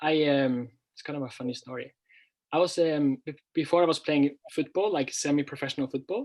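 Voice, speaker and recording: With a Norwegian accent, a man speaks fairly quickly at a fairly high pitch, his intonation fairly even but his loudness swinging widely. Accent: Norwegian, clear. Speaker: language teacher and former footballer. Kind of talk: interview. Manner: clear; halting.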